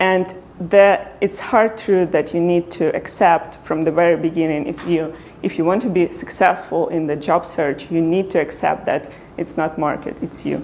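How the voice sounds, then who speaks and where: Noticeable background noise sits behind a woman speaking at a moderate pace. She has a non-native accent, a fairly low pitch and fairly even intonation. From Ukraine. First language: Ukrainian. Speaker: product designer. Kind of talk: talk to meetup audience.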